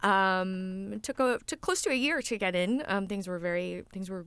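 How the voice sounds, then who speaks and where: A woman with an American accent has an ordinary speaking voice at a medium pitch. She keeps a moderate pace in a very clean recording with a silent background. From Texas. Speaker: voice actress and stage actor. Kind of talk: interview.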